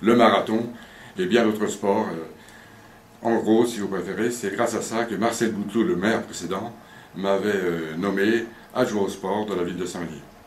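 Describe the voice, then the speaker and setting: The speech moves at a fairly slow pace with fairly even intonation. Audible room echo is present. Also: man. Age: 60s. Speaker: mayor. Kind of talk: interview. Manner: hesitant with fillers.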